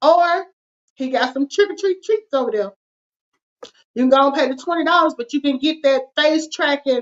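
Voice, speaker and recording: A woman speaks with a Southern US accent at a moderate pace. Her high-pitched voice has lively intonation. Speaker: finance show co-host. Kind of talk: casual chat with call to action.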